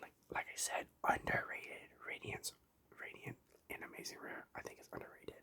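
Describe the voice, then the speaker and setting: A whisper delivered at a medium tempo. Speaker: ASMR youtuber. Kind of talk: ASMR show and tell. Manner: whispering; halting, many fillers.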